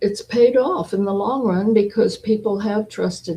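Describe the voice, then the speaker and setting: Somewhat breathy and dark, mellow in tone, a woman speaks at a fairly slow pace with fairly even intonation. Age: 80s+. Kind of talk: interview answer.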